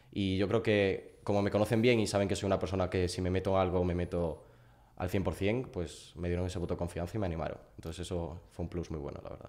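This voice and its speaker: Man with a Galician accent and a very deep, low pitch, very fast pace, fairly even intonation and a quiet background. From Galicia, A Coruña. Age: 20s. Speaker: growth partner, student; podcast guest. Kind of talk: interview. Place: home room. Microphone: studio mic.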